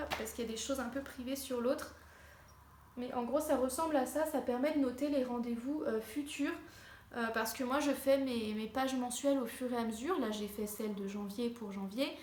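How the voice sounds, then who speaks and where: A woman speaks at a high pitch and moderate pace with fairly even intonation. There is noticeable background noise and audible room echo. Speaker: lifestyle vlogger. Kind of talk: casual tutorial. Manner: hesitant, many fillers.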